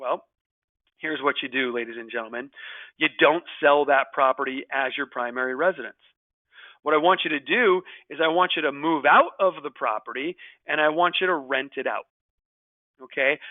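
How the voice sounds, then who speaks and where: Pausing long and often, a man with a fairly high pitch speaks at a moderate pace with ordinary pitch variation. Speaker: real estate tax webinar presenter. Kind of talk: webinar lecture. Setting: online webinar. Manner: animated.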